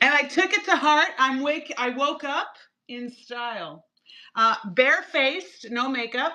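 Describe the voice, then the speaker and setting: A woman speaks at a high pitch in a raised, projected voice, with an animated tone and lively intonation. Her pace is fairly slow. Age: 60s. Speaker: cosmetic chemist and skincare brand founder. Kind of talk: TV shopping presentation.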